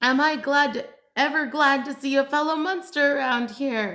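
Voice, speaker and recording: Using a put-on character voice, a woman projects loudly at a high pitch and a moderate pace. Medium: read story. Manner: excitable.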